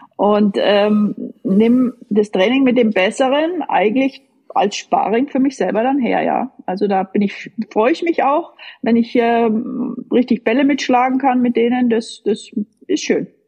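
A high-pitched woman's voice at a fairly slow pace, with ordinary pitch variation and very even loudness. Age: 50s. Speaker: tennis coach, former pro player. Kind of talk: casual interview. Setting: online call.

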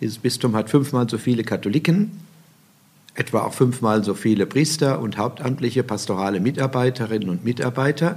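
A man talks at a moderate pace and medium pitch. He has an ordinary speaking voice. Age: 60s. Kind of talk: interview.

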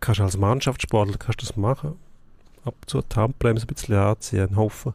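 A man talks at medium pitch with ordinary pitch variation. His voice is somewhat breathy. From Switzerland, outside Zurich. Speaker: sports journalist. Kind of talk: casual sports debate.

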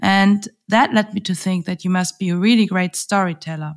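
Her pitch varies in an ordinary way as the woman speaks in a German accent. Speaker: podcast host. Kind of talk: interview.

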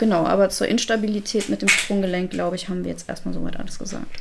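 Noticeable background noise behind a woman's very fast speech. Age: 30s. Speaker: canine physiotherapist. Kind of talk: casual chat.

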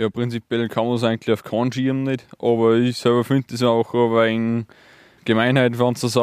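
In a dry, close sound with no echo and a quiet background, a man with an Upper Austrian accent speaks in a monotone, flat intonation. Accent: Mühlviertel dialect. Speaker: farmer. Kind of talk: interview.

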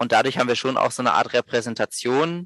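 Recorded with a dry, close sound with no echo and a quiet background, a man talks at a fairly quick pace. His pitch is medium. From Berlin, Germany. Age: 30s. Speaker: social business co-founder. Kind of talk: podcast interview. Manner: halting, many repetitions and fillers.

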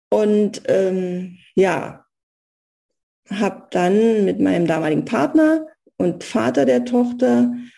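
Speaking at a very slow pace with long, frequent pauses, a woman uses a dark, mellow tone at medium pitch, with very wide pitch swings and very even loudness. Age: 50s. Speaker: pharmaceutical sales rep and engineer. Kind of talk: casual interview.

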